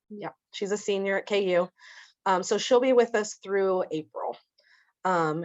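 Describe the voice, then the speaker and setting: A woman's medium-pitched voice with ordinary pitch variation, in a Midwestern American accent. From Kansas, Lawrence. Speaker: social services program manager. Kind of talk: presentation.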